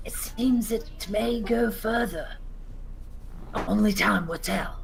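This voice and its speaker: Someone uses a put-on character voice at a fairly slow pace. Background noise is clearly present. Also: female-sounding voice, fairly high pitch for a woman. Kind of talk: fantasy roleplay speech. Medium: actual play. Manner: measured, slightly theatrical.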